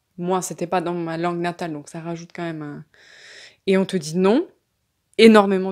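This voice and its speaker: A woman's fairly low-pitched voice at a fairly slow pace, on a very clean recording with a silent background. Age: 20s. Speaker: entrepreneur and investor. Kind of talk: interview. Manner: casual, hesitant with fillers.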